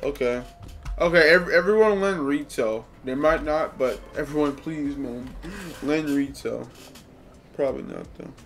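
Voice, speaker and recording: Over faint background music, a man speaks fairly slowly with long, frequent pauses. His fairly high pitch varies an ordinary amount, while his loudness swings widely. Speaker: gaming streamer. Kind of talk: live gameplay commentary. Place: home room.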